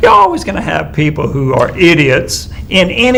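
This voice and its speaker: Man amid noticeable background noise and audible room echo. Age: 60s. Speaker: political talk show co-host, military veteran. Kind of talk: political discussion.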